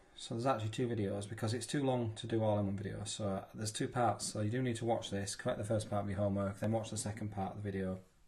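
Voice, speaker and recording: A man races along at a very fast pace with hardly any pauses. His somewhat breathy voice sits fairly low and stays monotone and flat. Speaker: maths teacher. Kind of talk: tutorial.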